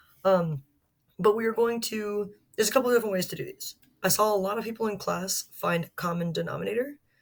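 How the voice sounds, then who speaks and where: Here is a woman with a plain, everyday voice. She talks at a moderate pace with ordinary pitch variation. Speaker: math teacher. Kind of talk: tutorial.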